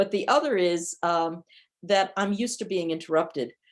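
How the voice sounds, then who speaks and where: A woman with an American accent speaks in an ordinary speaking voice at a medium pitch. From New York, US. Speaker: professor, cybersecurity policy. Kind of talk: lecture. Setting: video call.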